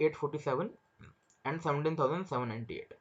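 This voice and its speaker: Someone talks at a very fast pace with an Indian accent. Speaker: stock market trader and trading educator. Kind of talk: market analysis tutorial. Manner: repetitive, restarts phrases.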